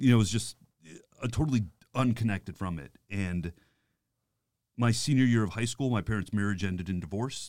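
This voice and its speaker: An American man with an ordinary speaking voice talks at a fairly quick pace with ordinary pitch variation on a very clean recording with a silent background. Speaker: priest. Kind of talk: casual chat. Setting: studio.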